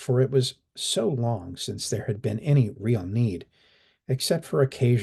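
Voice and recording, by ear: Someone is reading aloud in a natural voice, with ordinary pitch variation and a quiet background.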